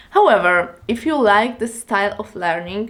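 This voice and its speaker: A woman's voice at a medium pitch with ordinary pitch variation. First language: Polish. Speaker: language learning youtuber. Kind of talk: tutorial.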